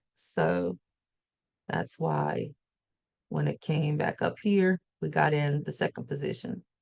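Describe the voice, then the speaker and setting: A woman with a Southern US accent talks at a very slow pace with long, frequent pauses, in a dry, close sound with no echo. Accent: southern US twang. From US South. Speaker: forex trader and trading educator. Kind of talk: live trading session. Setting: livestream.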